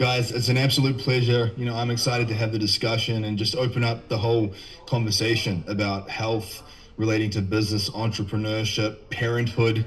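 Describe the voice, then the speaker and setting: In a New Zealand accent, a man speaks with monotone, flat intonation amid audible room echo. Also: medium pitch for a man, fairly quick pace. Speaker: health and nutrition coach. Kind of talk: podcast interview.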